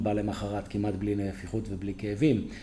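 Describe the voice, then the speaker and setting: A man with a fairly low pitch talks at a moderate pace, and room echo is audible. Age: 60s. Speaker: dentist and company founder. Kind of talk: interview.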